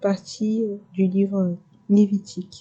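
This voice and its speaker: Her medium-pitched voice is somewhat breathy and dark and mellow in tone, held to a monotone, flat intonation. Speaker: ASMR creator. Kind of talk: casual intro to viewers. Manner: whispered.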